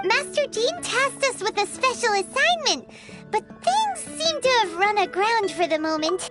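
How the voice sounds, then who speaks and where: Over clear background music, a put-on character voice at an extremely high pitch moves at a moderate pace. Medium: machinima. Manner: chatty, expressive.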